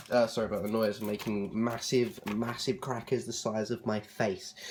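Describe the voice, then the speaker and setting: A man with a southern English accent talks at a fairly quick pace and a medium pitch. Noticeable background noise runs underneath. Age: 20s. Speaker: vlogger. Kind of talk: casual vlog talk. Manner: hesitant, many fillers.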